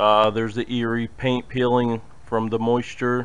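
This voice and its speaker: A man is speaking. His intonation stays flat and monotone throughout. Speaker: urban explorer vlogger. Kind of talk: casual vlog chat. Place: street. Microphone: phone near.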